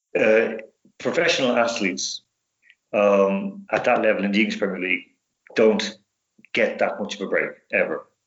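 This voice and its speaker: In a Dublin accent, a man speaks at a moderate pace. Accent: Irish (Dublin). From Dublin, Ireland. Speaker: sports specialist and radio host. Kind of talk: podcast interview answer. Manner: casual, conversational.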